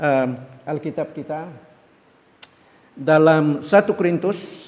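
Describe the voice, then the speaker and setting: A man speaks at a very slow pace. His pitch is fairly high. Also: ordinary pitch variation. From Philippines, Davao. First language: Filipino language (speaking Indonesian). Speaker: missionary pastor. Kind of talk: sermon. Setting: church. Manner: halting, many fillers.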